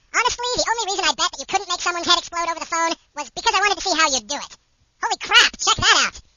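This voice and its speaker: A squeaky, put-on character voice rattles along at a very fast pace and extremely high pitch. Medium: audio drama. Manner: excitable, snarky.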